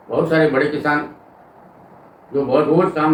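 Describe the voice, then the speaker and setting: The man's voice sits fairly high in pitch. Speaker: farmer and Ayurvedic plant educator. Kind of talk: informative talk to camera about farming.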